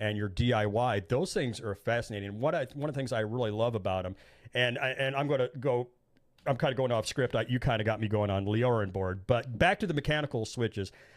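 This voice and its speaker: On a very clean recording with a silent background, a man with an American accent talks at a very fast pace with a medium pitch and ordinary pitch variation. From Indiana. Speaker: podcast host. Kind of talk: casual chat.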